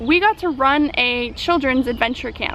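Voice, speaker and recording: A woman speaks with a high pitch. Noticeable background noise runs underneath. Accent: American. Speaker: travel vlogger. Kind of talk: travel vlog. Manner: fast; animated.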